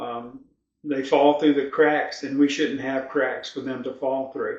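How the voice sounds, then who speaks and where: A man talks with a Virginia accent. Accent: Southern US (Virginia). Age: 60s. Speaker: local political candidate, retired sheriff. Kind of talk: interview.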